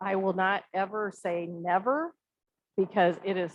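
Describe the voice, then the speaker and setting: This woman's voice sits at a fairly low pitch. Her intonation is fairly even. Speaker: arts festival organizer. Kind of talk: Q&A after a talk. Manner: fast.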